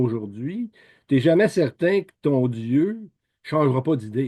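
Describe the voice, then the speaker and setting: A man speaks at a very slow pace in a Quebec accent, with lively intonation and a fairly high pitch. His tone is dark and mellow, and the background is quiet. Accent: Québécois. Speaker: lay Bible teacher. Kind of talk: Bible teaching talk. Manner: halting, many repetitions and fillers; informal conversational.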